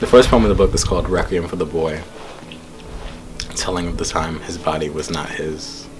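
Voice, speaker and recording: A man's very deep, low voice at a fairly quick pace with ordinary pitch variation, with audible room echo and music in the background. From Jamaica, Queens, New York. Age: 20s. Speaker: poet. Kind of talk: interview.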